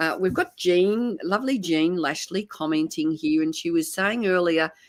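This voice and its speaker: A woman talks at a moderate pace in a fairly low pitch with ordinary pitch variation and very even loudness. It is an unremarkable speaking voice. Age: 60s. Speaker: live show host. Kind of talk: casual chat. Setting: live stream.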